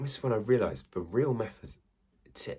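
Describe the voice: A man speaks with lively intonation at a fairly low pitch. His tone is slightly mellow.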